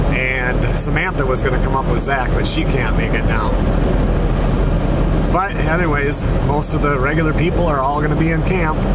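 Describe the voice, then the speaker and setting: The speech moves at a moderate pace with long, frequent pauses, the sound dry with no echo against loud background noise. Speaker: hunting vlogger driving. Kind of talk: casual vlog chat. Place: car. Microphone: phone near.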